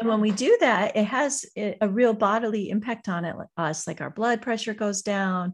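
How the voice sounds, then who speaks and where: A woman's fairly high voice at a moderate pace, with ordinary pitch variation and hardly any pauses, on a very clean recording with a silent background. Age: 40s. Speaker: author and farm wife. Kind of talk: casual interview chat. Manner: animated, enthusiastic.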